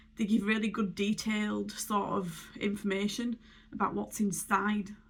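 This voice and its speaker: At a moderate pace, a woman with a medium pitch speaks in a somewhat breathy voice with monotone, flat intonation. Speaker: beauty vlogger. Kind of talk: casual tutorial.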